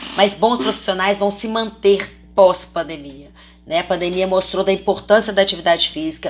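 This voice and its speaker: Her pitch is medium. The woman's voice rises and falls in an ordinary way. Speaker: children's personal trainer and course instructor. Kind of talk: live online class. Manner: fast.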